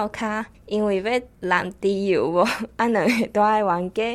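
This woman has a normal speaking voice and a fairly even intonation. She talks at a fairly slow pace in a very clean recording with a silent background. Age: 20s. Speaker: university student. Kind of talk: prepared spoken talk.

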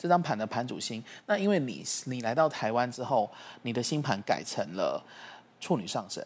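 On a very clean recording with a silent background, a man with an unremarkable speaking voice and medium pitch talks at a moderate pace with lively intonation. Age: 40s. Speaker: astrology teacher. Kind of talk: casual explanatory chat.

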